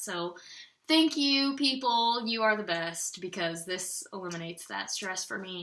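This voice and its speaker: A woman's bright, sharp tone with lively intonation at a moderate pace. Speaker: patient living on intravenous nutrition. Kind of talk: casual talk to camera. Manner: rambling, easily side-tracked.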